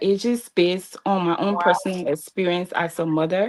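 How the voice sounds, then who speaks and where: A woman speaks in a medium pitch with a Liberian accent. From Liberia, Grand Bassa County. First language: Bassa. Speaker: pageant contestant. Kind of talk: interview.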